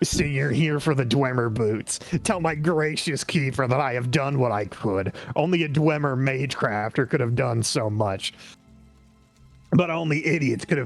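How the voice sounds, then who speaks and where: A nasal, put-on character voice moves at a moderate pace. Faint music plays in the background. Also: man, medium pitch for a man. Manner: smug, condescending.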